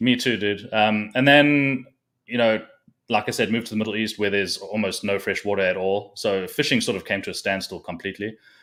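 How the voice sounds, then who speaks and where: Fairly quick and fairly even in intonation, the speaker has a South African accent on a very clean recording with a silent background. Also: man, fairly low pitch for a man. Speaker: fishing content creator and tournament angler. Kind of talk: casual chat.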